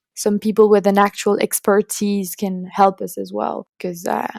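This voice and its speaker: A woman with a French accent speaks at a fairly slow pace and medium pitch. Her intonation is monotone and flat, and the sound is dry and close with no echo. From France. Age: 20s. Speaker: student climate activist. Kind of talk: podcast interview. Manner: halting.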